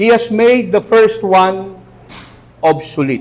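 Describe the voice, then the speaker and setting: A man's voice with very wide pitch swings. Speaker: pastor. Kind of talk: sermon. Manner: animated.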